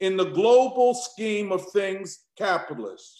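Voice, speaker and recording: A man speaks at a fairly slow pace in an animated tone. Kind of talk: lecture and discussion. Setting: online live stream video call. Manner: animated, emphatic.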